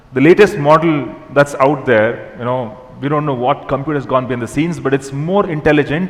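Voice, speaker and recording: A man's fairly high voice shows ordinary pitch variation, set against noticeable background noise. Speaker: technology executive, keynote speaker. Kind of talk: keynote talk. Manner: fast.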